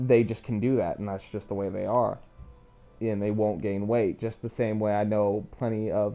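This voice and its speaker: Over music in the background, a man talks at a fairly slow pace with a fairly low pitch and fairly even intonation. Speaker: gaming video creator. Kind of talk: casual chat.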